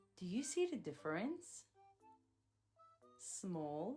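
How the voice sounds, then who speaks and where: A woman's medium-pitched, upbeat voice with very wide pitch swings over music in the background. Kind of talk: children's educational narration. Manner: upbeat, clear, slow.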